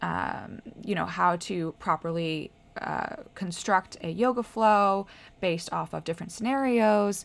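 A normal speaking voice in an American accent, fairly slow, with ordinary pitch variation, in a very clean recording with a silent background. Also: woman, medium pitch for a woman. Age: 20s. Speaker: health coach and podcast host. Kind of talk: casual solo talk. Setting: at home by a window.

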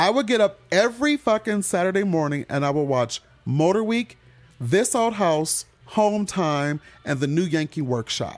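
A man with an American accent speaks in a high voice that moves through very wide pitch swings. The sound is dry and close with no echo, and music plays in the background. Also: moderate pace. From Michigan, Detroit. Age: 40s. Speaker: comedian. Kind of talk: casual chat.

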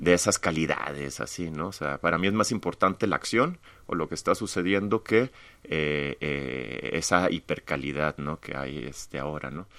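Lively intonation and vocal fry mark a man's voice, which has a bright, sharp tone. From Mexico-US border, Tamaulipas/Monterrey. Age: 40s. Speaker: visual artist. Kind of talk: casual interview.

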